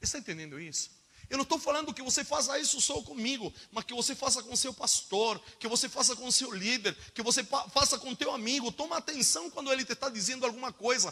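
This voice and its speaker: A man projects a raised voice at an extremely high pitch with ordinary pitch variation, talking fairly quickly with hardly any pauses over noticeable background noise. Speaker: preacher. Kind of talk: sermon. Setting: church school with audience. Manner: fast when inspired; animated.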